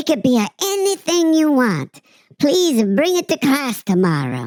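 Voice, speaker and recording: A put-on character voice at a moderate pace, with very wide pitch swings and very even loudness. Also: woman, high pitch for a woman. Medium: read story. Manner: warm, encouraging.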